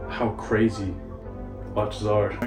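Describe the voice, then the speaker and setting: Music sits in the background behind a man with a Texan accent. His fairly low voice shows ordinary pitch variation. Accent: Texan American English. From Dallas, Texas. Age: 20s. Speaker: luxury watch dealer. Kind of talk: casual personal story to camera.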